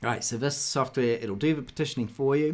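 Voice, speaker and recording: The speaker has a New Zealand accent and ordinary pitch variation. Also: man. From New Zealand, South Auckland. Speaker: software developer; presenter. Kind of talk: tutorial. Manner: hesitant, many fillers. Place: home room.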